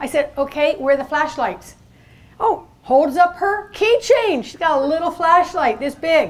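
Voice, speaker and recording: The speaker moves at a fairly slow pace with lively intonation. Loudness swings a lot. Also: woman, high pitch for a woman. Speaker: presenter. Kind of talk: seminar talk with anecdote. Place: meeting room. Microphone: handheld.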